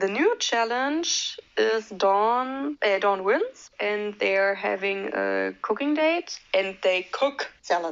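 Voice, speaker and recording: A woman is speaking. She has a non-native accent. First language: not English. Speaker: movie reviewer youtuber. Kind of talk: casual commentary. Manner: hesitant, many fillers.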